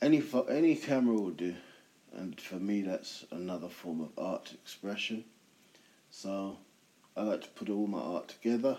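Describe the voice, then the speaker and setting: A man with a dark, mellow tone and a fairly low pitch speaks at a moderate pace in a relaxed tone, his intonation lively, his loudness swinging widely, and his speech broken by long, frequent pauses. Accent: British. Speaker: podcast host. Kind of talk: solo casual monologue podcast. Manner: relaxed, chilled.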